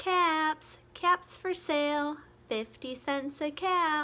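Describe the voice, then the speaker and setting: A woman puts on a squeaky character voice, pitched high. She talks at a very slow pace with fairly even intonation. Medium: read story. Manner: calling, emphatic.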